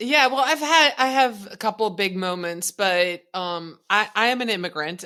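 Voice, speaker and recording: The recording is very clean with a silent background. A woman speaks at a fairly slow pace in a bright, sharp tone. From Netherlands, Friesland. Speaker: social media strategist and coach. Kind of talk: interview.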